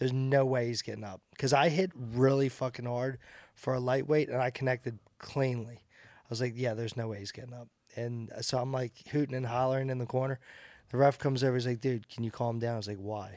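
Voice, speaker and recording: A man's plain, everyday voice at medium pitch, fairly quick pace and fairly even intonation, with big swings in loudness. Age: 40s. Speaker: bare-knuckle boxer. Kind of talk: casual chat.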